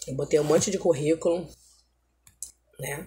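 The speaker keeps a fairly even intonation at a moderate pace. Light background noise can be heard. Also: woman. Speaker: home vlogger. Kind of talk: casual vlog chat. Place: home room. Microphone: phone near.

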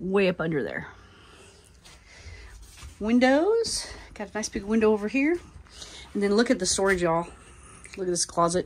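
A woman's lively intonation at a moderate pace, with long, frequent pauses. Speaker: RV dealership salesperson. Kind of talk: product tour narration. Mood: friendly upbeat sales talk. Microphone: phone near.

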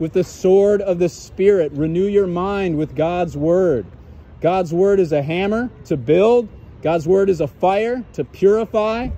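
Loud and high-pitched, a man speaks at a fairly slow pace in a dry sound with no echo. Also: ordinary pitch variation. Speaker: street preacher. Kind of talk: sermon. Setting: outdoors. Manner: loud, urgent, exhorting passers-by; repetitive, emphatic, fervent. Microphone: phone near.

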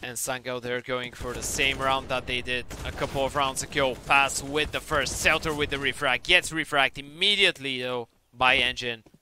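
An unremarkable speaking voice at a moderate pace with hardly any pauses. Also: man, medium pitch for a man. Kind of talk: live esports commentary. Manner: excitable, rising in tension on clutch moments.

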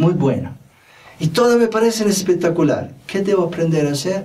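A man speaks with an Italian accent. His intonation is lively. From Italy. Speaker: spiritual teacher and self-help video host. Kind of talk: monologue talk to camera, self-help advice. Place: studio. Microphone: lapel.

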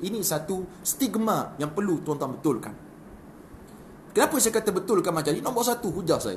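A man talks at a moderate pace with high pitch and lively intonation. Light background noise can be heard. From Malaysia. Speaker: religious preacher. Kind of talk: live-stream talk. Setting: live stream. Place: home room. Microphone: phone near.

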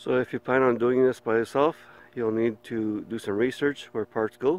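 A man speaks at a fairly slow pace. The sound is dry, with no echo. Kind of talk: casual vlog chat. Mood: mildly frustrated. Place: street. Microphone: phone near.

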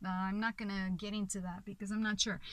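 The tone is bright and sharp, the sound dry with no echo, and the background quiet. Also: woman. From Portugal. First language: Portuguese. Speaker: film reviewer. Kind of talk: video review monologue. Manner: halting, many fillers. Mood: enthusiastic, reflective. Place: car. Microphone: phone near.

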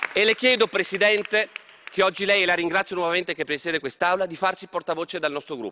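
A high-voiced man at a very fast pace, with light background noise. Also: ordinary pitch variation. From Trieste, north-east Italy; Italy. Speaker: politician. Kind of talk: parliamentary speech. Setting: parliament chamber. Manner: formal. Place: hall. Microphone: podium.

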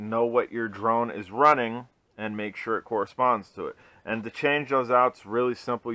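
A man talks at a moderate pace in a monotone, flat delivery. His tone is bright and sharp, and the sound is dry with no echo. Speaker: RC hobbyist reviewer. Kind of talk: tutorial. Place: home room. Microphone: helmet.

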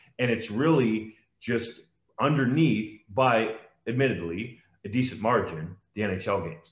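A man with an Ontario accent speaks in a somewhat breathy voice at a fairly slow pace, with audible room echo against a quiet background. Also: ordinary pitch variation. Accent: Canadian (Ontario). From Ontario, Canada (Guelph). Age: 30s. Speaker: sports journalist. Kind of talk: interview. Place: home room. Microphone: video call.

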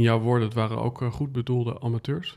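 Against a quiet background, a man speaks at medium pitch with fairly even intonation. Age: 30s. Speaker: podcast host. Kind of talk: interview conversation. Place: studio. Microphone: studio mic.

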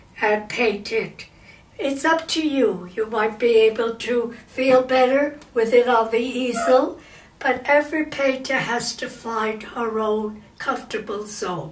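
A woman's high-pitched voice at a very slow pace. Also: ordinary pitch variation. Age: 80s+. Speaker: amateur painter. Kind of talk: painting tutorial talk to camera. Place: home room.

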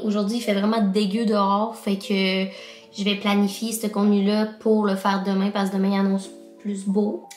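With faint music behind her and audible room echo, a woman speaks at a moderate pace. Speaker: vlogger. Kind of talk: casual vlog chat. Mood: chatty, opens up personally. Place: home room. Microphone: phone near.

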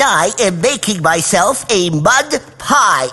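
A cartoonish character voice at a middle pitch. It moves at a very slow pace.

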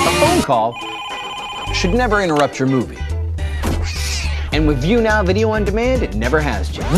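Clear music plays in the background. A man speaks with long, frequent pauses. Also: moderate pace. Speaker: commercial voice actor. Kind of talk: TV commercial read. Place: studio.

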